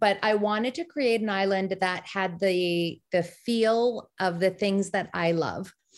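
A woman's unremarkable speaking voice with an American accent, medium pitch, fairly even intonation, and a fairly slow pace against a quiet background. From US, Maryland. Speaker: romance author. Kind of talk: casual chat.

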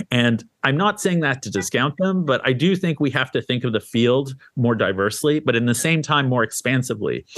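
A man with an ordinary speaking voice talks at a medium pitch. His pace is fairly quick and his intonation lively. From Canada. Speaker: art magazine editor and critic. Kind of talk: interview.

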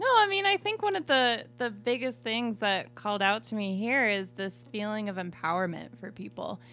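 A woman speaks with hardly any pauses. Noticeable background noise runs underneath. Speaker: human factors practitioner. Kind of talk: casual chat. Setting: studio. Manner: fast.

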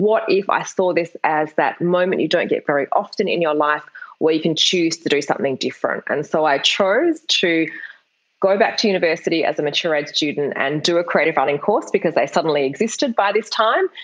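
Fairly quick in pace, a woman with an Australian accent speaks in a fairly low voice. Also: ordinary pitch variation, very even loudness. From Perth, Western Australia. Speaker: novelist. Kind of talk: interview.

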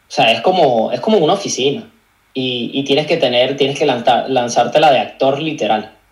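Talking at a very fast pace with lively intonation, a man uses a fairly high pitch, with audible room echo. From Venezuela, Caracas. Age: 20s. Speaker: digital marketing agency owner and content creator. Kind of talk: casual interview chat. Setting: video call.

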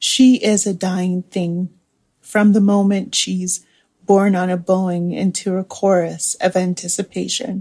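The voice has a dark, mellow tone and sounds somewhat breathy, at a fairly slow pace. Its intonation stays flat and monotone, in a dry, close sound with no echo. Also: woman, medium pitch for a woman. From Nigeria and several countries. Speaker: poet. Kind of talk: poetry reading; interview reflection.

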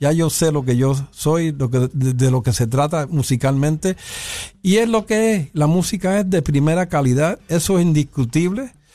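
In an unremarkable speaking voice, the speaker talks at a moderate pace with lively intonation and very even loudness. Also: man, fairly high pitch for a man. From New York (South Bronx). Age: 60s. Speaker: pianist and bandleader. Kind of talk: interview.

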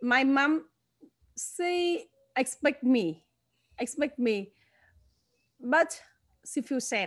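In a Vietnamese accent, a woman speaks very slowly in a high pitch with lively intonation and long, frequent pauses. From northern Vietnam. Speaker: former actress and church leader. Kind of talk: testimony. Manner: halting.

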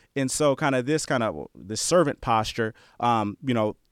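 An unremarkable speaking voice from a man with an American accent, medium in pitch with ordinary pitch variation, in a dry, close sound with no echo on a very clean recording with a silent background. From New Jersey, then Bay Area, California. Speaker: former college football player, player development director. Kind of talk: interview.

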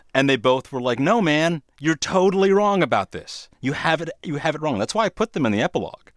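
On a very clean, silent-background recording with a dry, close sound and no echo, a man with a fairly high pitch talks at a fairly quick pace with lively intonation and hardly any pauses. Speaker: TV producer. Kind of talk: interview conversation. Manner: overly dramatic delivery.

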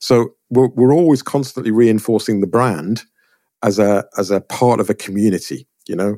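In an English accent, a man with a dark, mellow tone speaks at medium pitch and a moderate pace with ordinary pitch variation, recorded very cleanly with a silent background and a dry, close sound with no echo. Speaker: portrait photographer. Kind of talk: interview.

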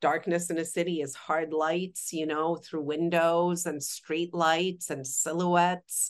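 A woman with a Polish accent, fairly low pitch, monotone and flat intonation, a fairly slow pace and hardly any pauses. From Poland. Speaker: cinematographer. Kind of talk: interview.

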